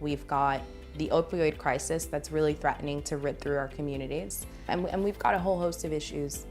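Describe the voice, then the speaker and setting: A woman speaks at a moderate pace. Music plays behind her. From South Bronx, New York. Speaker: political candidate. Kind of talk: interview answer.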